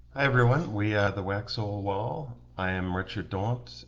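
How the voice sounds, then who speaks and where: In a room with audible echo, a man with a very deep, low pitch speaks at a very slow pace with lively intonation. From New Zealand. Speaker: local political candidate. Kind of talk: campaign livestream introduction. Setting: live stream.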